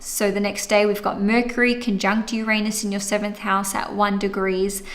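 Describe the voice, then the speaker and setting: A woman's fairly high, flat, monotone voice amid noticeable background noise and audible room echo. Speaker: astrologer. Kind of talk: monthly horoscope livestream. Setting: livestream.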